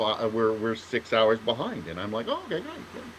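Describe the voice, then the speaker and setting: A man with a Canadian accent at medium pitch, against noticeable background noise. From Canada, Ontario. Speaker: author, podcast co-host. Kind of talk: casual chat. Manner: halting, many false starts.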